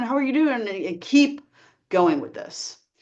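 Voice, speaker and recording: Against a quiet background, a woman speaks at a fairly quick pace with very wide pitch swings. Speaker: life coach. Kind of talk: talking-head advice video. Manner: casual, many fillers.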